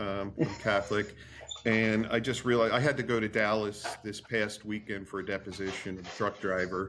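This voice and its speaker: This man has an unremarkable speaking voice, fairly low in pitch, with an American accent. He talks at a moderate pace with fairly even intonation. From New Jersey. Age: 60s. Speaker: attorney. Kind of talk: podcast interview.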